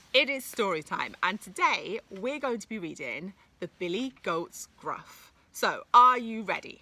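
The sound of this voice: Lively intonation over an unforced reading voice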